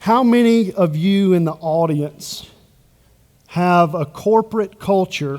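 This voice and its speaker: A man speaks at a very slow pace. His high voice shows ordinary pitch variation. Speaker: bank culture executive, conference speaker. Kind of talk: conference presentation. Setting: stage with audience.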